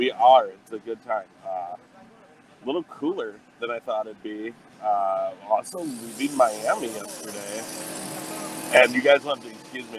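Over noticeable background noise, a man speaks with big swings in loudness and ordinary pitch variation, the sound dry with no echo. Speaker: remote guest. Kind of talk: casual interview chat. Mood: cheerful, amused. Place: cafe. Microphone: earbuds.

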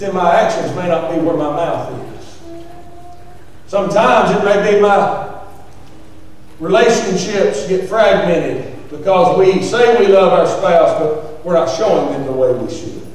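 Strong room echo surrounds a man's high voice as he speaks at a fairly slow pace with ordinary pitch variation. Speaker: preacher. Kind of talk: sermon. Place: church.

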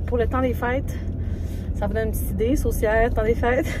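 A woman talks very fast while noticeable background noise runs underneath. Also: dry sound with no echo. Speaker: vlogger. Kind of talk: casual vlog chat. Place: car. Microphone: phone near.

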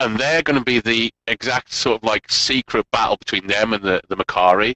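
The voice has a bright, sharp tone and ordinary pitch variation, moving at a fairly quick pace against a quiet background with a dry sound and no echo. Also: man. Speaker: game show host. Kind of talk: commentary. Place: home room. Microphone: headset.

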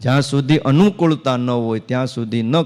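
This man's voice has a dark, mellow tone. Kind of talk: religious discourse.

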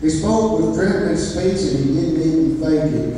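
At a moderate pace, a man with an American accent speaks with lively intonation, strong room echo and light background noise. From East Texas. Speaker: cowboy church preacher; guest preacher. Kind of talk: sermon with folksy personal storytelling to a church congregation. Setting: church. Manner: animated, conversational, plainspoken, with laughs and asides; halting, repeating words as he speaks. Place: church.

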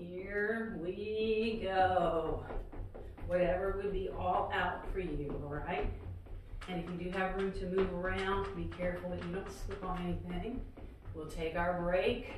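A woman talks at a fairly slow pace with fairly even intonation. Audible room echo and noticeable background noise surround her voice. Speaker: fitness instructor. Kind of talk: workout instruction. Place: empty room. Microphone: camera far.

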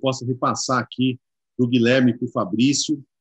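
With a plain, everyday voice, the speaker goes at a moderate pace in a quiet background with dry sound and no echo. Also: man. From Brazil. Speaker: panel moderator, exchange director; panel moderator. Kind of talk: live-streamed panel discussion. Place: office. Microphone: video call.

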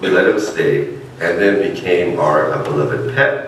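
A man's voice carries audible room echo. Light background noise is present. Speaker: minister. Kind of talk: sermon. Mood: warm personal storytelling. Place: church. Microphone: podium.

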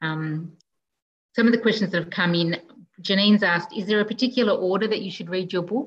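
A somewhat breathy woman with an Australian accent, at a fairly quick pace with ordinary pitch variation and light background noise. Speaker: librarian host. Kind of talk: online event moderation. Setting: video call. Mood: warm, appreciative. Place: home room. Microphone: video call.

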